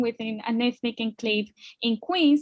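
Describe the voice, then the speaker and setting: A fairly high-pitched woman's voice against a quiet background. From Colombia. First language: Spanish. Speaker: immigrant guest speaker. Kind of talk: personal testimony in a panel webinar.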